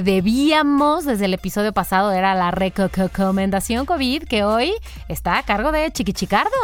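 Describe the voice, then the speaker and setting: Her pitch swinging very widely, a woman speaks at a moderate pace with a Mexican accent. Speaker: podcast host. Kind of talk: casual chat.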